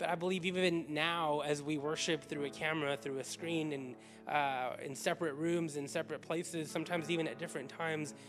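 Over clear music in the background, a man talks at a fairly quick pace with hardly any pauses and fairly even intonation. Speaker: pastor. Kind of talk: sermon-style welcome to an online congregation. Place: church. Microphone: handheld.

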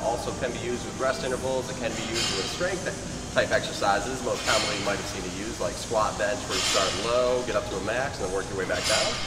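Loud background noise surrounds a man who talks at a very fast pace. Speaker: fitness trainer. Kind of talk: tutorial. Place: gym. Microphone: camera far.

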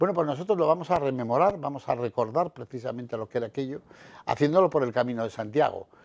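Talking at a very fast pace, a man with a fairly high pitch uses lively intonation. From Palencia, Spain; Spain. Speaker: association president; interviewee. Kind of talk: TV interview. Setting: TV studio. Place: studio. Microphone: lapel.

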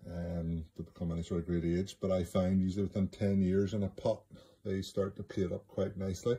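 Deep and low in pitch, this man's voice has a Northern Irish accent and a dark, mellow, somewhat breathy tone. His intonation stays monotone and flat. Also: fairly quick pace. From Northern Ireland. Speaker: bonsai grower. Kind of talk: recorded video explanation. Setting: self-recorded video.

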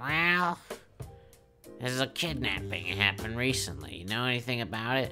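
Over clear music in the background, a man uses a put-on character voice at a medium pitch, moving at a moderate pace with long, frequent pauses. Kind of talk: parody hard-boiled detective voice-over. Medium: comedy sketch.

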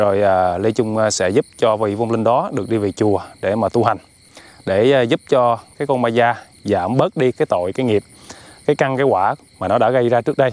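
A man speaks at a moderate pace and medium pitch, with ordinary pitch variation, long and frequent pauses, and a dry, close sound with no echo. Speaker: video host, spirit medium performer. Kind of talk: scripted-style spirit-medium show, conversing with a possessed spirit. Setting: outdoors by a riverbank.

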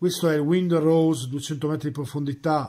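A man speaks at a fairly high pitch. There is light background noise. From Parma, northern Italy; northern Italy. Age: 40s. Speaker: watch collector sending a video; watch reviewer. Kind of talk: recorded video message. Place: home room.

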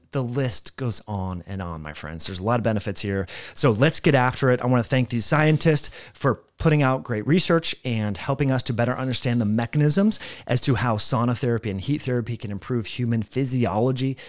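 Against a quiet background, a man talks at a fairly quick pace with lively intonation, the sound dry with no echo. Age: 40s. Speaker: health educator. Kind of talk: explainer of a research study. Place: home room. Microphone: studio mic.

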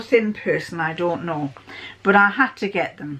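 At a fairly slow pace, a woman is talking. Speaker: sewing vlogger. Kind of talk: casual vlog chat. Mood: cheerful, self-deprecating humour. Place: home room. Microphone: phone near.

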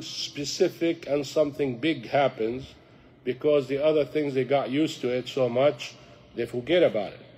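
Speaking with an Arabic accent, a man with fairly high pitch keeps a moderate pace and fairly even intonation. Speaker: imam teaching a youth class. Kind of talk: religious lecture. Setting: mosque class with audience.

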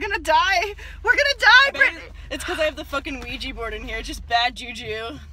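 A fairly quick pace in a dry sound with no echo, over light background noise. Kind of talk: casual vlog chat. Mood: nervous, giggly excitement. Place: car. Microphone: phone near.

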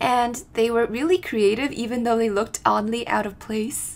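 Ordinary pitch variation and a moderate pace from a female speaker. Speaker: travel vlogger narrating. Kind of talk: casual vlog narration.

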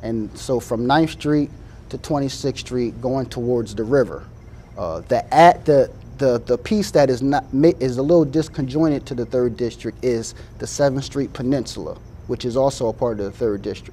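Over light background noise, a man with an American accent talks at a moderate pace in a dark, mellow tone with ordinary pitch variation. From US Mid-Atlantic. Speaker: city council candidate. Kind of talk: call-in show. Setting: studio. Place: studio.

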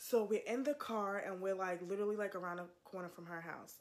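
At a moderate pace, a woman is talking. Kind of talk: casual storytelling testimony. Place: home room. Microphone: phone near.

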